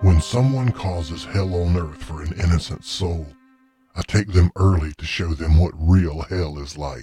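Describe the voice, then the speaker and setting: A man performs a put-on character voice at a very deep, low pitch. He keeps a moderate pace, with faint music in the background. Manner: smug, teasing, unhurried.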